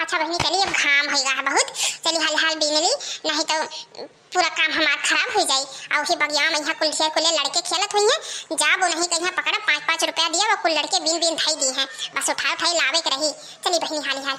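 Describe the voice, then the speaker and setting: In a squeaky, cartoonish character voice pitched extremely high for a woman, she speaks at a fairly quick pace with fairly even intonation and very even loudness. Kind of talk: rustic comic monologue. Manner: chatty, complaining, talks to herself.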